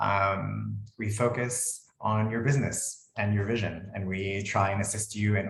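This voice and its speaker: This man speaks at a fairly low pitch with an American accent. His voice is somewhat breathy. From United States. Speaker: lawyer. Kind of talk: webinar presentation.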